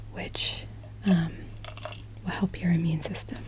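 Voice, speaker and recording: Noticeable background noise sits behind a woman speaking in a gentle, relaxed tone. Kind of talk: ASMR gentle whispered talking. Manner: gentle, soft-spoken, relaxed.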